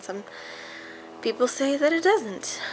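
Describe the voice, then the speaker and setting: A woman speaks at a moderate pace while noticeable noise sits in the background. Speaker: vlogger, medical professional. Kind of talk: casual personal vlog rant. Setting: at home, screen door open. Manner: loud; hesitant, many fillers.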